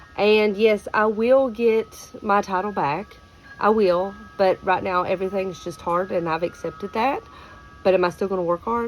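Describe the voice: With music in the background, a woman speaks in a rural Kentucky accent with ordinary pitch variation. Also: medium pitch for a woman. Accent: rural Kentucky, Southern drawl.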